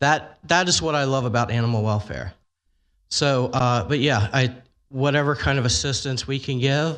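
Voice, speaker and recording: A man at medium pitch, moderate in pace, with ordinary pitch variation against a quiet background. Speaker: animal welfare advocate. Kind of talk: public testimony. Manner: loud.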